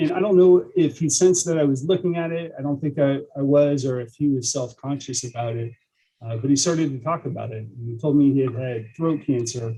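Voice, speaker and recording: A man's somewhat breathy voice of medium pitch, dark and mellow in tone, with ordinary pitch variation at a moderate pace. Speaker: police lieutenant. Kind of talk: training presentation.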